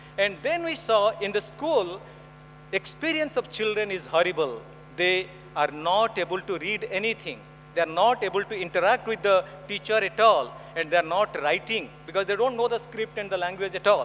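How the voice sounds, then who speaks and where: A man with a high pitch and lively intonation talks at a moderate pace as noticeable background noise plays behind him. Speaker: education specialist, conference speaker. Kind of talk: conference talk. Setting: stage with audience.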